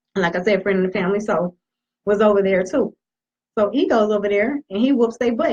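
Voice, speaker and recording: A woman talks at a very fast pace with ordinary pitch variation. Her voice is somewhat breathy. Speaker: talk show co-host. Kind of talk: casual chat.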